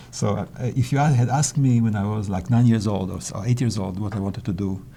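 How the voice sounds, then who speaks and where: With a Polish accent, a man talks at a fairly quick pace in a fairly low pitch, his intonation lively. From Israel, then Switzerland from age twelve. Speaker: mathematician. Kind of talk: interview. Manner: halting, with repetitions.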